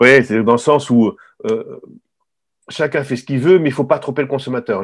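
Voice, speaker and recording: A man's fairly even intonation comes through on a very clean recording with a silent background. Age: 60s. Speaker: retired wine journalist and author. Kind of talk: interview. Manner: halting, many repetitions.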